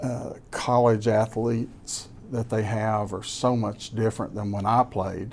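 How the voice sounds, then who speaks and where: A man's medium-pitched voice in a Kentucky Appalachian accent, fairly slow and monotone with flat intonation and hardly any pauses. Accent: Kentucky Appalachian Southern US. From Kentucky (Laurel County). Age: 60s. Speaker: businessman and former college football player. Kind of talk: casual interview.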